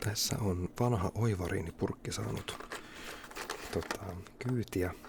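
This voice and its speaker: In a relaxed tone, a man with fairly low pitch speaks at a very slow pace with ordinary pitch variation. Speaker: ASMR creator. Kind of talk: ASMR whispering and casual talk. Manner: relaxed, unhurried.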